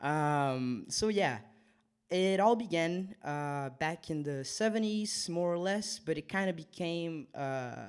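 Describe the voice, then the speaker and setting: Over a silent background on a very clean recording, a man with a Portuguese accent speaks at a very slow pace with a fairly high pitch and lively intonation. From Brazil, Rio de Janeiro. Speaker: DJ. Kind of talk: casual radio chat. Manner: hesitant, many fillers.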